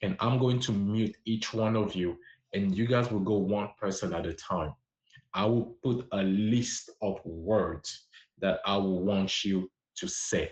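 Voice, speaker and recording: The speaker has a French accent and sounds somewhat breathy. The pace is fairly slow. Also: man. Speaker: language teacher livestreamer. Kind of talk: livestream language lesson. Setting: livestream on social app.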